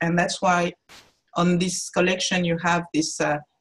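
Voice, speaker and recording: The speaker is a woman whose somewhat breathy voice lies fairly low in pitch. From France, Cameroonian parents. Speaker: artist. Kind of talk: interview. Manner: halting.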